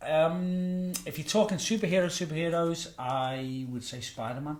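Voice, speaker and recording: A man at a fairly high pitch and moderate pace, with ordinary pitch variation, big swings in loudness and audible room echo. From Birkenhead, Merseyside, northern England. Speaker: pastor. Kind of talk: interview. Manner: hesitant, with filler words.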